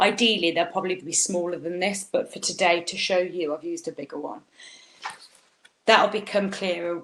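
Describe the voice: A woman speaks with a fairly low pitch and a fairly bright tone. Her pace is moderate and her pitch varies in an ordinary way.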